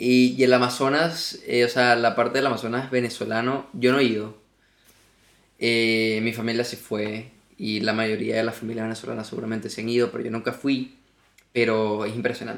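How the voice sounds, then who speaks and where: In monotone, flat intonation, a man speaks at a moderate pace with a medium pitch. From Venezuela, Margarita Island. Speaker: podcast guest. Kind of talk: casual chat.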